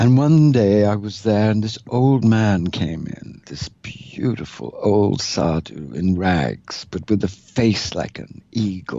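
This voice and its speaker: A man with a fairly low pitch, speaking at a very slow pace. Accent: RP. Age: 60s. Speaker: mystic and author. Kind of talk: interview conversation. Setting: recorded conversation in Toronto. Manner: animated.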